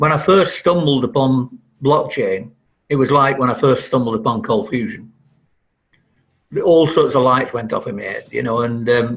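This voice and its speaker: A somewhat breathy man speaks with lively intonation and long, frequent pauses. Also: medium pitch for a man, moderate pace. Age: 70s. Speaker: software developer. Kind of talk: podcast interview. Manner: halting, many repeated words.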